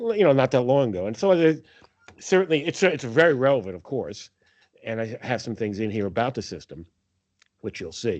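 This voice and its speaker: A man with a New York accent, fairly quick in pace, with very wide pitch swings. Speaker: accounting professor presenting financial analysis. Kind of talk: presentation to faculty meeting. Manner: casual with many fillers.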